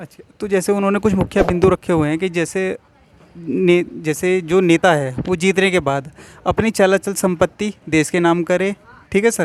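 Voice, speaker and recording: The recording has noticeable background noise and a dry, close sound with no echo. A man speaks at a high pitch. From Uttarakhand, India. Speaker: YouTube interviewer. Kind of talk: street interview.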